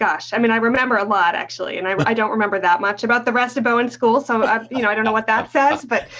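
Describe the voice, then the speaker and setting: Noticeable background noise surrounds a woman speaking at a very fast pace. She leaves hardly any pauses and uses ordinary pitch variation. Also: fairly high pitch for a woman. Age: 40s. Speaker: teacher educator. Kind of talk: casual interview.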